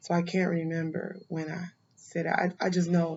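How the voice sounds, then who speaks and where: A woman speaks in a fairly low voice with monotone, flat intonation. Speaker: criminal defense attorney. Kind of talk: casual interview chat.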